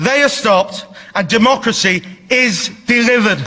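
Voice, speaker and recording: A raised, projected voice comes through at a moderate pace over noticeable background noise. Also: man. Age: young. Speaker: parliamentary candidate. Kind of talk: political speech. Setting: stage with audience.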